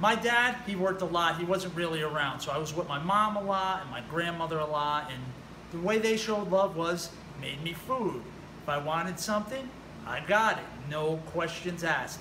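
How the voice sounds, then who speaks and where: A man with a New Jersey accent speaks at a moderate pace, his high pitch showing ordinary variation. Noticeable background noise and audible room echo fill the recording. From New Jersey, US. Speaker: personal trainer. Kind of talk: personal story monologue. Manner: casual, conversational.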